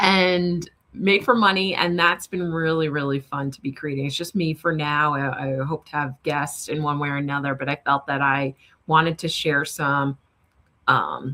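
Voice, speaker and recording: A woman with a New York accent speaks at a moderate pace in a very deep, low voice, with ordinary pitch variation. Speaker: money strategist. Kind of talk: interview. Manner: soothing.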